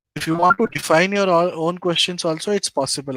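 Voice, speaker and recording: A speaker with an Indian accent talks at a fairly quick pace in a bright, sharp tone, the sound dry and close with no echo. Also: man. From East India. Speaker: data analytics YouTuber. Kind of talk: live-streamed tutorial. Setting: live stream screen share.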